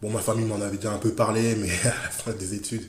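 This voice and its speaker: There is audible room echo around a man's voice. Noticeable background noise is also present. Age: 30s. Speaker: school librarian teacher. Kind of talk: interview. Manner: halting; enthusiastic.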